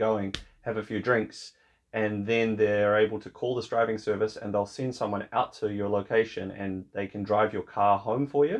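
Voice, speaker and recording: In a New Zealand accent, a man speaks in a flat monotone. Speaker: vlogger. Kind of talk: casual vlog talk.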